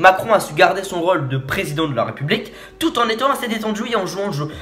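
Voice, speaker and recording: A man speaks very fast in an animated tone at a high pitch, with lively intonation. Noticeable background noise runs underneath. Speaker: youtuber reacting to a video. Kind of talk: casual video commentary. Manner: stammering, halting; informal, animated.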